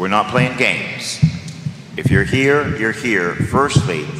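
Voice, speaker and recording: This man's voice sits at a medium pitch and swings very widely up and down at a moderate pace. Noticeable background noise is present. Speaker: priest leading the rosary. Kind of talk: fervent prayer, leading a rosary with call-and-response. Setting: live stream. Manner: fervent, emphatic, rhythmic. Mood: fervent, earnest. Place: church.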